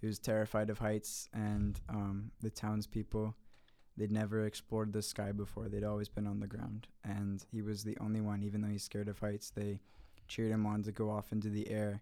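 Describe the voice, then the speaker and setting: A man with an American accent, fairly low in pitch, with a dark, mellow tone, monotone, flat intonation and a moderate pace. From Philadelphia area, US, then Brazil from age 9. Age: 20s. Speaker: guitarist. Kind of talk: casual chat.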